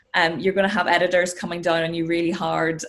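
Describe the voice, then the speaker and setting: Speaking at a fairly quick pace, a woman has a Northern Irish accent. Her pitch is fairly low. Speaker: sports and news presenter. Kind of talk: interview.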